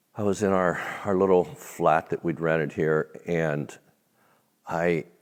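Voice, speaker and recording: A man with an American accent has a very deep, low pitch. He talks at a fairly slow pace with fairly even intonation. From United States, Irish heritage. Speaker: minister, guest speaker. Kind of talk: interview. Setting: stage. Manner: loud.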